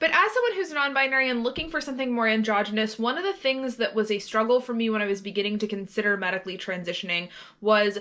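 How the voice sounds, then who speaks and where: A woman's fairly high pitch with ordinary pitch variation, against noticeable background noise. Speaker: vlogger. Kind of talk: casual vlog monologue. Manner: casual, with fillers.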